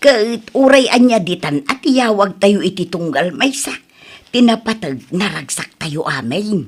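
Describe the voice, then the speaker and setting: In a put-on character voice, a woman talks at a fairly slow pace from a medium pitch, her voice making very wide pitch swings. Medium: stage play. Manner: insistent, playful.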